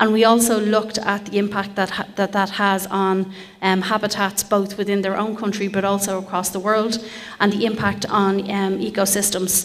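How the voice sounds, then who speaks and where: A woman with an Irish accent speaks at a medium pitch in a monotone, flat intonation. The recording has audible room echo and noticeable background noise. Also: moderate pace. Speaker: project partner researcher. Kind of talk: conference presentation. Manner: hesitant fillers (um).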